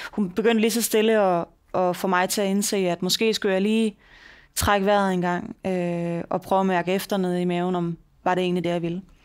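A woman speaks at a fairly quick pace in a flat monotone against a quiet background. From Denmark. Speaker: mayor; podcast guest. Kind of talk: interview. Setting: office. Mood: calm, reflective. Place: meeting room. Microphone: headset.

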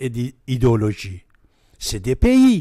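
Against a quiet background with dry sound and no echo, a man speaks very slowly in a dark, mellow tone. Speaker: radio guest or host. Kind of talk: radio talk commentary. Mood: earnest, warning tone. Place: studio. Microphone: studio mic.

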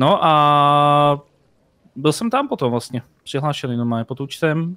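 A man's fairly high-pitched voice, dry with no echo, against a quiet background. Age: 30s. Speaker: streamer. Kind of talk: casual chat. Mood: relaxed, anecdotal. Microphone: headset.

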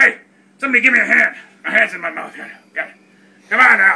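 A man is speaking. He uses a put-on character voice. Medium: comedy sketch. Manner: whiny, indignant, sarcastic.

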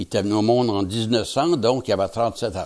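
A man is speaking. The background is quiet. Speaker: interviewee. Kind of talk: interview answer, storytelling. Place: home room. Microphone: lapel.

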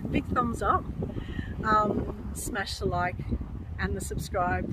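A woman's voice over loud background noise, the sound dry with no echo. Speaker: urban explorer vlogger. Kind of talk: casual vlog chat. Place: open country. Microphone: phone near.

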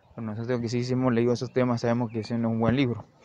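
The speaker is a man. He talks in a monotone, with flat intonation. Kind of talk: improvised opinion monologue.

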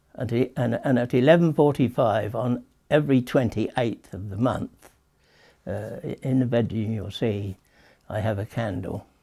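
Moderately paced, somewhat breathy speech with a dark, mellow tone and ordinary pitch variation against a quiet background. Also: man. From England. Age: 80s+. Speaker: author. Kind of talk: interview answer. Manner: hesitant, halting. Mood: tender, grieving, hesitant. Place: home room.

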